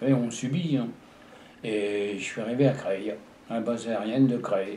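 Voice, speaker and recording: A man with a dark, mellow tone speaks at a fairly slow pace with ordinary pitch variation, and audible room echo is present. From Paris region, France. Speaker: war veteran. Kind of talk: testimony. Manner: halting.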